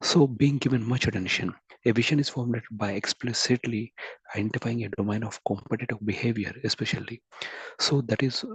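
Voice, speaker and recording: At a fairly quick pace, a man speaks at a medium pitch with a somewhat breathy voice and fairly even intonation, in a dry, close sound with no echo. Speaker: guest speaker at an academic webinar. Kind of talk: lecture. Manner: halting. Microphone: too quiet.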